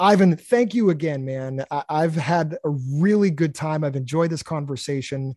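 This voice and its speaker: A man with an American accent and a normal speaking voice talks at a moderate pace with hardly any pauses, his fairly high pitch showing ordinary variation, the sound dry and close with no echo. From Massachusetts. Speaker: podcast host, album reviewer. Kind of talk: casual interview.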